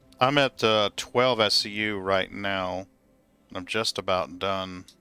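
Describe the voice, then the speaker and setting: A man with a slight Southern US accent, a fairly low pitch, and a bright, sharp tone, at a very slow pace with fairly even intonation. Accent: southern US accent, showing a little. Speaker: gaming streamer. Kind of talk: casual chat.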